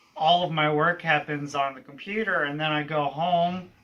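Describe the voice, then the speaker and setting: With a bright, sharp tone, a man speaks at a moderate pace in a fairly high pitch. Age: 30s. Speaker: college teacher. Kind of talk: interview answers.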